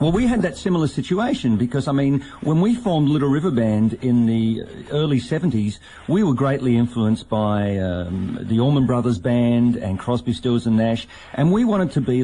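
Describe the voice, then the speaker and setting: With an Australian accent, a man speaks at a moderate pace and medium pitch, using lively intonation. His loudness is very even, with noticeable background noise behind him. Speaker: radio host and former rock musician. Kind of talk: radio interview.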